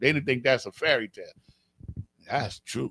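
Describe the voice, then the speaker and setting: Lively intonation from a man with a fairly high pitch, kept to a moderate pace. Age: 60s. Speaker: religious teacher. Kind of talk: religious class teaching. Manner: animated.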